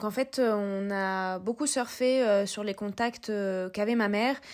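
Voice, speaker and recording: A medium-pitched woman at a very slow pace with fairly even intonation, on a very clean recording with a silent background. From southern France. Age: 20s. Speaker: periodontist. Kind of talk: casual chat.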